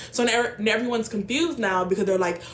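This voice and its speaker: A woman's very fast speech with ordinary pitch variation amid noticeable background noise. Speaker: book vlogger. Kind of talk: casual book summary vlog. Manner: animated.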